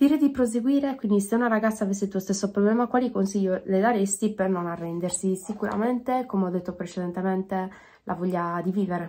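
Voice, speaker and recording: A woman speaks at a very fast pace with a dark, mellow tone. Her voice is somewhat breathy, with ordinary pitch variation. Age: 20s. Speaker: DJ; interviewee. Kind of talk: self-interview. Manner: halting. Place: home room. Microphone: phone near.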